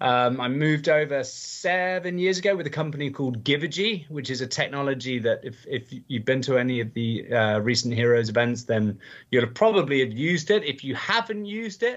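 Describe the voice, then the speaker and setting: An energetic man with an English accent, fairly high in pitch, at a fairly quick pace with lively intonation. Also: hardly any pauses. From England. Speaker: charity auctioneer and gala host. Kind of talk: podcast interview.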